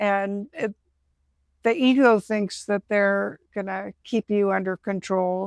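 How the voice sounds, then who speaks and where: The recording is very clean and dry, with a silent background and no echo. A woman talks at a medium pitch and a very slow pace, with fairly even intonation. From grew up moving around in a military family. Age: 70s. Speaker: podcast host. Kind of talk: casual chat.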